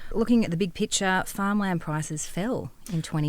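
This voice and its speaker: With an Australian accent, a woman talks at a moderate speed on a very clean recording against a silent background. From East Gippsland, Australia. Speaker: farmer and land valuer. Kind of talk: podcast interview. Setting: studio.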